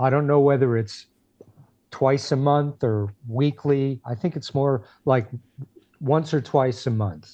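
In an American accent, a man speaks at a very slow pace with long, frequent pauses. His tone is dark and mellow, with ordinary pitch variation. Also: medium pitch for a man. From New Jersey (Passaic/Clifton). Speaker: retired music industry worker and musician. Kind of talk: interview.

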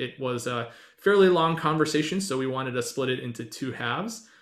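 This man has an ordinary speaking voice. His pace is fairly quick and his intonation lively. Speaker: podcast co-host. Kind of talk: casual chat.

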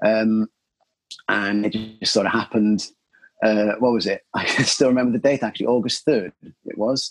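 Someone with a Cardiff accent speaks at a moderate pace with fairly even intonation, the sound dry and close with no echo. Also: man. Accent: Welsh (Cardiff). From Wales, Cardiff. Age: 30s. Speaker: jiu-jitsu practitioner. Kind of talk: interview. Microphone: poor lockdown recording quality.

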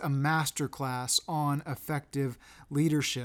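A man with a normal speaking voice talks fairly slowly at a fairly high pitch. The recording is very clean, with a silent background. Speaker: podcast host. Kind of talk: interview.

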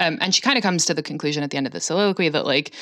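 Amid noticeable background noise, a woman speaks at a very fast pace with a very deep, low pitch and an animated tone. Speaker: podcast co-host. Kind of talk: casual chat. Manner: animated, laughs often.

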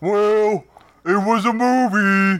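His pitch sits high for a man. He speaks in a put-on character voice. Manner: mocking imitation of a colleague's voice.

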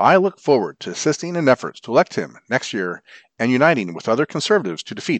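Over a quiet background, a man with a medium pitch and vocal fry talks at a very fast pace with very wide pitch swings, the sound dry and close with no echo. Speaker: volunteer newspaper reader. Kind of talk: formal newsreading of print news articles, read aloud for blind listeners. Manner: formal, even, measured newsreader delivery.

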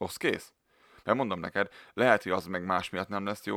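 In a very clean recording with a silent background and a dry, close sound with no echo, a man with a very deep, low pitch and a bright, sharp tone talks at a fairly quick pace. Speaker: podcast co-host. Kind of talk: casual chat.

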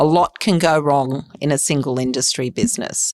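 A woman with an Australian accent speaks at a moderate pace in a very deep, low pitch. The recording is very clean and dry, close-miked with no echo and a silent background. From Sydney, Australia. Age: 50s. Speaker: fund manager. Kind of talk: interview.

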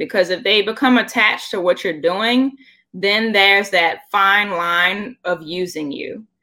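A woman's medium pitch in an ordinary speaking voice, with an American accent, ordinary pitch variation and a fairly slow pace. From Washington, D.C. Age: 30s. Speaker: entrepreneur and cosplayer. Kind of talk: casual interview chat.

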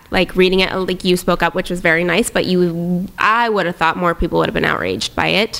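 Speaking at a fairly quick pace, a woman with a Pacific Northwest accent uses a medium pitch and fairly even intonation. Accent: American (Pacific Northwest). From US Pacific Northwest, Tri-Cities, Washington. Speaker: entrepreneur and influencer. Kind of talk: casual interview chat.

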